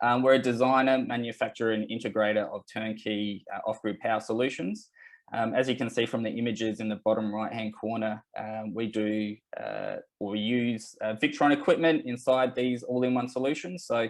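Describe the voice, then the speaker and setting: With an Australian accent, a man talks at a fairly quick pace with fairly even intonation. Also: medium pitch for a man. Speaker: company representative presenting a webinar. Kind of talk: webinar presentation. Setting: online webinar. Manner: hesitant, many fillers.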